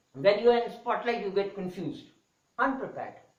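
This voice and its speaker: The voice carries audible room echo and shows ordinary pitch variation. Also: man. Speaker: English teacher. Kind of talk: lecture. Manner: fast; varied intonation.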